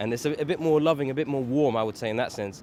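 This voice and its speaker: Speaking very fast with an Arabic accent, a man uses a medium pitch and ordinary pitch variation. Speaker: interviewee. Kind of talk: casual interview answer.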